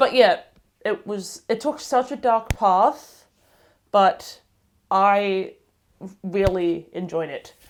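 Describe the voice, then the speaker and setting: With an Australian accent, a woman speaks at a fairly high pitch. Her intonation is lively. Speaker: book vlogger. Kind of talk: casual vlog review. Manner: halting, self-correcting.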